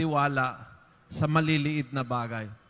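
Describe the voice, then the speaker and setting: A man speaks at a fairly slow pace. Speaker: priest. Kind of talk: homily. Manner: emphatic, punchy and conversational; Taglish, direct and moralizing. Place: church. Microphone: handheld.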